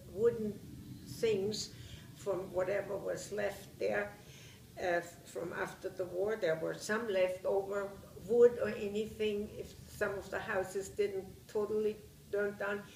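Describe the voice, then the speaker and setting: With a Bavarian accent, a woman talks in a flat monotone at a fairly slow pace with long, frequent pauses, while noticeable background noise runs behind her. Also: medium pitch for a woman. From Bavaria, Germany. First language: German. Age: 70s. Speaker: war survivor interviewee. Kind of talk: interview testimony. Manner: halting.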